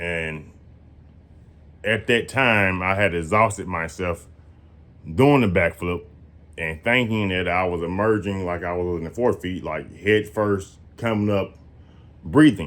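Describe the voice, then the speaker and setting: A man talks fairly slowly, with long, frequent pauses. His pitch is very deep and low, with ordinary variation. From US South, Georgia. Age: 30s. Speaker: storyteller sharing near-death experience. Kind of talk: personal testimony to camera. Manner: casual, rambling with fillers.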